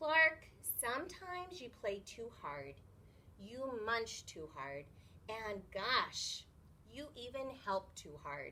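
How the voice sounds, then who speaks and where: A put-on character voice, female-sounding and high in pitch, at a very slow pace over clear background noise. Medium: read story.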